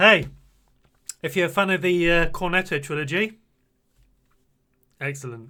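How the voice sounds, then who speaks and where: A man with a British accent speaks at a moderate pace in a high voice with a bright, sharp tone, ordinary pitch variation and long, frequent pauses. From Britain. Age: 40s. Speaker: streamer. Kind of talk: makeup tutorial livestream. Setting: live stream. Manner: animated.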